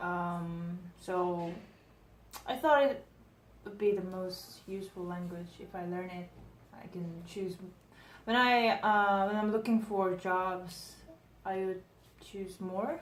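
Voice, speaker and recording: In a room with audible echo, a woman talks at a very slow pace with long, frequent pauses, ordinary pitch variation and big swings in loudness. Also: medium pitch for a woman. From Korea. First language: Korean. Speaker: language learner. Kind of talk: casual interview.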